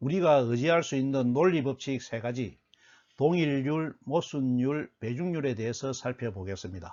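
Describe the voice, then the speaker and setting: A man's voice, medium in pitch, moves at a moderate speed with lively intonation. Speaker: lecturer. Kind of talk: lecture. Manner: formal.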